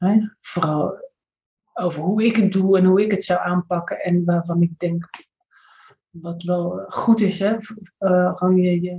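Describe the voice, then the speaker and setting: A woman speaks against a quiet background with a fairly low pitch and a dark, mellow tone. Her voice is somewhat breathy, and her intonation stays fairly even. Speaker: triathlete and coach; coach. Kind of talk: casual chat. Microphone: video call.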